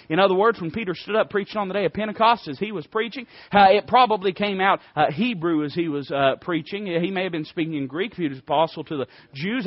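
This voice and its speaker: A high-pitched man in an Appalachian accent, with lively intonation and a fairly quick pace. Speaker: preacher. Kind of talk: sermon. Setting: church.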